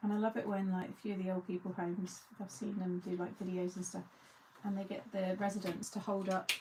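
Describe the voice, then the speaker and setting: A woman's medium-pitched voice with ordinary pitch variation and an English accent. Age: 40s. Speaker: crafting video host. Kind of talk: casual chat. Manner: chatty.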